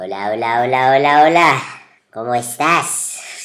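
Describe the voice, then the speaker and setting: In a put-on character voice, the speaker talks fairly slowly at a low-to-middle pitch. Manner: comical, cartoonish.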